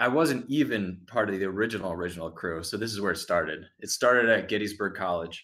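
An unremarkable speaking voice with an American accent and ordinary pitch variation. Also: man. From New Jersey. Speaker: former online group admin. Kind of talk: casual chat.

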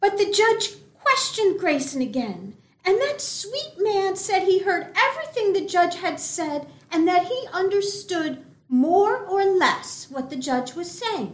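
A woman's voice sits at an extremely high pitch, moving at a fairly slow pace. Her pitch swings very widely. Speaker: actor playing a distressed wife. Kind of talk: noir parody, dramatized. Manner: breathy, dithery, damsel-in-distress.

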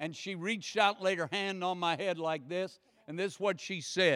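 This is a man speaking. He has an American accent. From United States. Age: 60s. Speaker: guest preacher. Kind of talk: sermon. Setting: church. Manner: animated.

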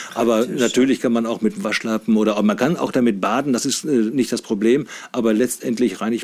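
Here a man talks at a moderate pace with hardly any pauses. His pitch is medium. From Saxony-Anhalt, Harz region (Wernigerode). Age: 50s. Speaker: sex doll company manager. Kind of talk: casual interview. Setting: studio. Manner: hesitant, many filler sounds.

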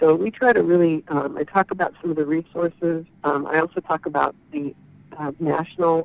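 With an unremarkable speaking voice, a woman speaks at a moderate pace and a fairly low pitch, her pitch varying in an ordinary way, and the sound is dry and close with no echo. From Northern California (Chico). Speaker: trade association executive director. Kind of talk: interview.

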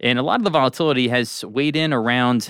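A man speaks in an unremarkable speaking voice at a medium pitch with ordinary pitch variation. His pace is fairly quick, and the sound is dry and close with no echo. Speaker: investment strategist. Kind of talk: podcast hosting. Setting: studio.

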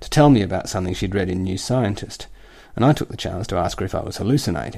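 A man talks at a fairly quick pace with an Australian accent. His tone is dark and mellow, and his intonation is lively. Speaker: satirical columnist. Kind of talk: scripted satirical reading.

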